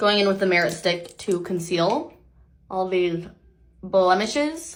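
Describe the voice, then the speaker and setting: A woman speaks with audible room echo. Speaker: beauty vlogger. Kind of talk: makeup tutorial. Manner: casual, chatty.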